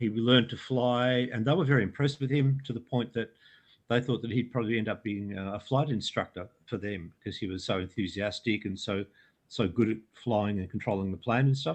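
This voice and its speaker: A man speaks at a fairly quick pace with an Australian accent. His pitch is medium, with ordinary variation. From Australia, Melbourne area. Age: 60s. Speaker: UFO researcher and author. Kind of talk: interview storytelling. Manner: halting, many fillers.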